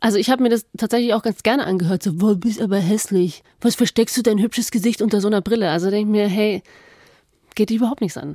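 A woman's dark, mellow tone in a fairly high pitch at a very fast pace, ordinary pitch variation, dry and close with no echo, on a very clean recording with a silent background. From Allgäu, Bavaria. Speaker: radio host. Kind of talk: casual chat. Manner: animated.

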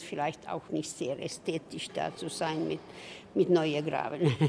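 A woman's dark, mellow tone. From southwestern Finland, Swedish-speaking. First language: Swedish (speaking German). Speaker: tour guide. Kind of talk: guided tour.

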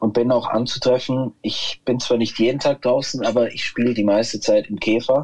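Barely pausing, a man speaks at a moderate pace in a medium pitch with monotone, flat intonation. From Munich, Schwabing. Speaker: musician, guitarist. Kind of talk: casual interview.

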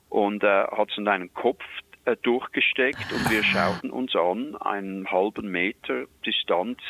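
A man with a fairly low pitch and ordinary pitch variation speaks at a very slow pace, his dry, close sound carrying no echo over noticeable background noise. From Switzerland. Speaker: wildlife expert. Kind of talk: storytelling.

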